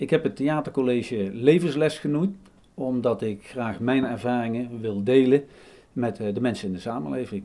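With music behind the voice, the talking moves at a moderate pace. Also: man. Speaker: speaker. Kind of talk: interview answer. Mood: calm, earnest. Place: home room.

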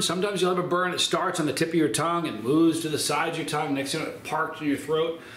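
There's audible room echo and light background noise as a man speaks. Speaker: hot pepper reviewer. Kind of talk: casual vlog chat. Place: kitchen. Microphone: phone near.

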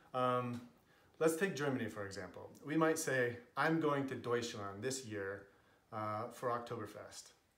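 A man with an American accent at a fairly slow pace, ordinary pitch variation, and audible room echo. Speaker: linguist. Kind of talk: casual talk to camera. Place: home room. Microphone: camera far.

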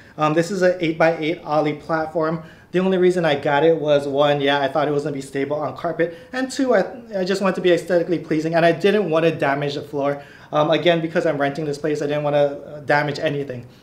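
Very fast and with fairly even intonation, a man delivers his words. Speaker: fitness content creator. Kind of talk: casual vlog chat. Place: home room.

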